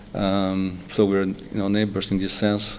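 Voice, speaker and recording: Amid noticeable background noise, a man with a Slovenian accent talks at a fairly slow pace in a fairly low voice. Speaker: diplomat. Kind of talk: TV interview. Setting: TV studio. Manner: halting, many fillers.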